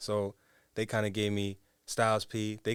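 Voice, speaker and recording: A man with an American accent speaks at fairly low pitch in a monotone, flat intonation. The recording is very clean, with a silent background. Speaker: rapper. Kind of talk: interview. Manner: casual, hesitant with fillers.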